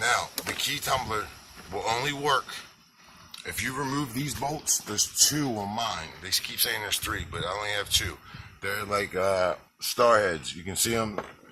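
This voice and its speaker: A man at medium pitch and moderate pace, with ordinary pitch variation and noticeable background noise. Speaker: DIY car owner / YouTuber. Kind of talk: DIY tutorial video. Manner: casual, halting with fillers.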